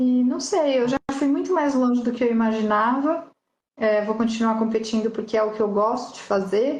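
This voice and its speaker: Speaking at a medium tempo, the woman has a normal speaking voice pitched fairly high. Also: ordinary pitch variation, very even loudness. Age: 40s. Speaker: motorcycle rally racer. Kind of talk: casual interview chat.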